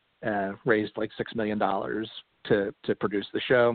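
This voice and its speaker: A man with an unremarkable speaking voice talks fairly quickly in an American accent. His pitch sits in the medium range, and his intonation is fairly even. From Philadelphia, US. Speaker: comedy writer and movie riffer. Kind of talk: casual interview chat. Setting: internet radio show.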